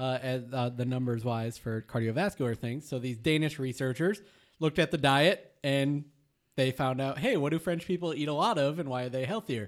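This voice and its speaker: Pitched fairly high, a man with an American accent and an unremarkable speaking voice talks at a moderate pace with ordinary pitch variation. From Michigan, US. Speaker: podcast co-host and producer. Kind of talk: casual chat. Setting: studio.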